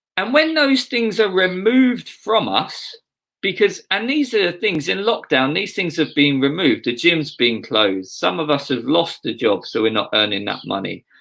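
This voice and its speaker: Speaking in an Essex accent, a man uses a high pitch with very wide pitch swings and a bright, sharp tone. He keeps a moderate pace with hardly any pauses. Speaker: pastor. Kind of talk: sermon.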